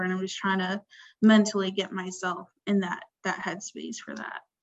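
Moderate pace and medium pitch from a woman, in a plain, everyday voice. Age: 20s. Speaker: podcast host. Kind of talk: casual chat.

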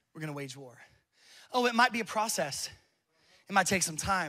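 Passionate and animated, a man speaks with lively intonation, a high pitch, and a bright, sharp tone. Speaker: pastor. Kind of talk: sermon. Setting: church with live congregation. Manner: passionate, building to a fiery, exhorting call to worship.

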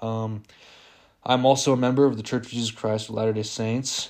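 A man's medium-pitched voice comes through on a very clean recording against a silent background. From Las Vegas, US West. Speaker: podcast host. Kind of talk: casual monologue. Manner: hesitant, many fillers.

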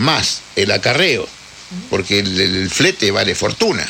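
This man's pitch swings very widely as he talks against noticeable background noise. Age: 70s. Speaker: butcher. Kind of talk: casual interview.

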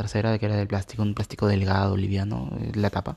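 Against a quiet background, a man talks very fast at a fairly low pitch in a dark, mellow, somewhat breathy tone. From Peru. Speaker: tech podcaster. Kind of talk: casual monologue.

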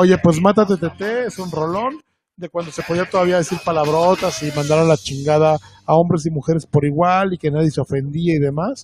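Music plays behind a man who speaks at a fairly quick pace in a high pitch. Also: ordinary pitch variation. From Veracruz, Mexico. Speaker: music podcast co-host. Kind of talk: casual album review chat.

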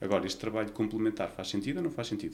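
A man speaks with vocal fry. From Portugal, Vila Nova de Gaia (Porto area). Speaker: nurse. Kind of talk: interview.

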